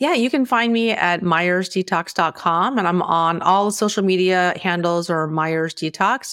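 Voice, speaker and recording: Here a woman speaks in an unremarkable speaking voice at a moderate pace, her fairly low pitch showing ordinary variation, on a very clean recording with a silent background. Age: 50s. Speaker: naturopathic doctor and detox podcaster. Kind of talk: casual interview chat.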